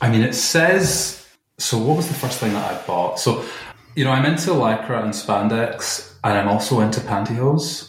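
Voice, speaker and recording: A man with a Scottish accent speaks at a moderate pace, his medium pitch carried by lively intonation. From Glasgow, Scotland. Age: 30s. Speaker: computer programmer guest. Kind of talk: casual interview.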